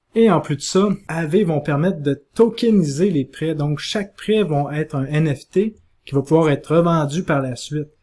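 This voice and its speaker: With a Quebec accent, a man talks at a moderate pace in a fairly high pitch, his dark, mellow tone showing ordinary pitch variation. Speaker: crypto investment youtuber. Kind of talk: explainer video.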